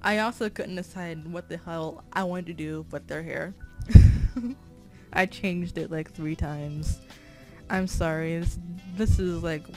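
With music in the background, a woman speaks fairly slowly in a fairly low voice with fairly even intonation. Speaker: digital artist. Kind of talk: tutorial voiceover. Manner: stutter; casual, self-deprecating.

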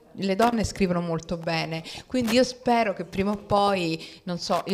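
A woman talks fairly slowly, her intonation fairly even. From Rome; Italy. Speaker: novelist; guest. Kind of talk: author talk. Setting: library event with audience. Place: hall. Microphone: handheld.

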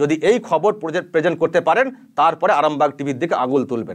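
A man speaks in an animated tone, his pitch swinging very widely over a quiet background. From West Bengal, Arambagh area (Hooghly); West Bengal, India. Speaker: YouTube news channel anchor, journalist. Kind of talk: direct-to-camera rebuttal commentary. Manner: animated, indignant. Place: studio. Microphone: lapel.

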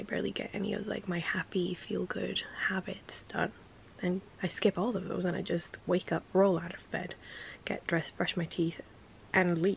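Over light background noise, a woman speaks at a moderate pace with vocal fry and fairly even intonation, the sound dry with no echo. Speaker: lifestyle vlogger. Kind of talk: casual vlog talk. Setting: in a car. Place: home room. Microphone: phone near.

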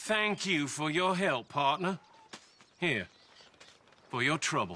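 A man uses a put-on character voice with a bright, sharp tone. His pitch sits fairly high, swings widely, and moves at a slow pace.

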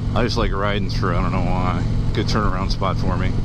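Loud background noise in a dry space with no echo. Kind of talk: casual motovlog chat. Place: motorbike.

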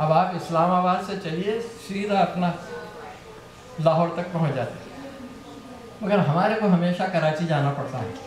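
A man's high-pitched voice with audible room echo and light background noise. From Hyderabad, India. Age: old. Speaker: joke teller at party. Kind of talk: joke telling at a private party. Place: home room.

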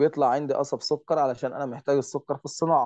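Speaking at a fairly quick pace, a man with a fairly high pitch and a dark, mellow tone is heard in a dry, close sound with no echo over a quiet background. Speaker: teacher. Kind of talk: online lesson.

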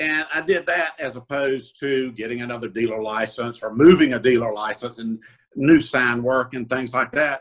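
With a Southern US accent, a man speaks at a medium pitch and moderate pace, using ordinary pitch variation over a quiet background. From South Carolina (Orangeburg). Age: 60s. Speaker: used car dealer. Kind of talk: interview. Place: home room. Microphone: video call.

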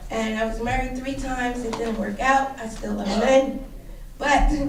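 Over noticeable background noise and audible room echo, a woman talks at a high pitch. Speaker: public commenter at council meeting. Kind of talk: public comment. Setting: council meeting.

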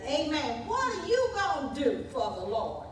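Over noticeable background noise and audible room echo, a woman talks very slowly with very wide pitch swings. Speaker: church teacher. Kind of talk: sermon. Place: church. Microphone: podium.

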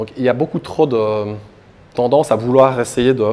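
Speaking at a moderate pace, a man uses a plain, everyday voice. His pitch is medium. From Belgium, Liège; Belgium. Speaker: crypto asset manager and conference speaker; conference speaker. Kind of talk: conference talk. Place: hall. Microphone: handheld.

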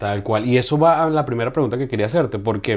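Words come out very fast, and the pitch varies in an ordinary way. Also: man. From Venezuela. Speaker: podcast host. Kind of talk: interview. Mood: warm, enthusiastic. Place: studio. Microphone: lapel.

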